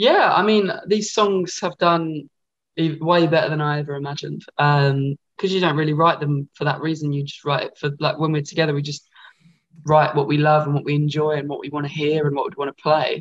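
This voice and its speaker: A somewhat breathy man's voice with an Essex accent, fairly high in pitch, fairly quick in pace, and fairly even in intonation. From Essex, England. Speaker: rock band frontman. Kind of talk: casual interview. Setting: video call. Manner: halting, many fillers.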